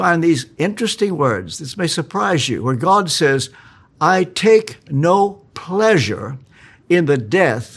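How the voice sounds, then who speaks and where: Vocal fry and very wide pitch swings at a very slow pace, on a very clean recording with a silent background. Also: man. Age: 80s+. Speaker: preacher. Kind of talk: sermon. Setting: church.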